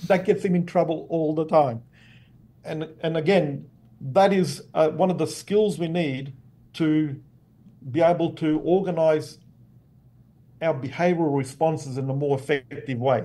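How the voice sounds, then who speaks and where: A dark, mellow tone with an Australian accent and long, frequent pauses. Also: man, fairly high pitch for a man, ordinary pitch variation, fairly slow pace. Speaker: behavioral neuroscience professor. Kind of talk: interview explanation.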